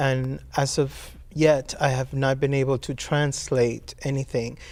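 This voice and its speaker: Recorded very cleanly against a silent background, a man speaks at a fairly slow pace with monotone, flat intonation. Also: medium pitch for a man. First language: Spanish. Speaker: poet. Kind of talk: interview. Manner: halting.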